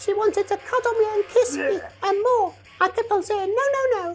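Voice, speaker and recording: Using a put-on character voice, a woman speaks at a moderate pace in a squeaky, extremely high pitch. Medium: comedy sketch. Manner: soft, earnest, innocent.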